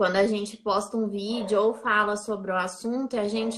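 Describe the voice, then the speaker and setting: Noticeable background noise sits behind a woman's fairly high voice. She talks at a fairly slow pace with fairly even intonation. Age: 30s. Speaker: business graduate, low-vision content creator. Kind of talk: casual chat. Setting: Instagram live video.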